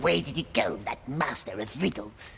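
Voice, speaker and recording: A put-on character voice sits at a low-to-middle pitch and moves at a moderate pace. Background noise is clearly heard. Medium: video game. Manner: sly, hissing, talks to himself.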